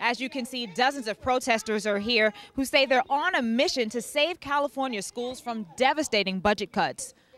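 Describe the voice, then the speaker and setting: Full of energy, a woman with a high pitch and lively intonation talks with hardly any pauses. Noticeable background noise is present. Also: moderate pace. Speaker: TV news reporter. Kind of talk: TV news report. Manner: energetic, conversational.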